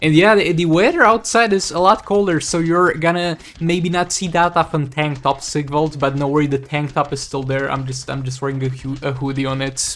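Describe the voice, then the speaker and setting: Speaking at a fairly quick pace with hardly any pauses, a man uses a fairly high pitch and ordinary pitch variation. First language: Romanian. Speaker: gaming YouTuber. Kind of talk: gameplay commentary.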